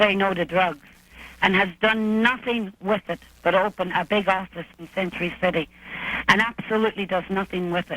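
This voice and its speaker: This speaker talks at a moderate pace with an Irish accent. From Ireland. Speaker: caller. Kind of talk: call-in comment. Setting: phone call. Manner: animated.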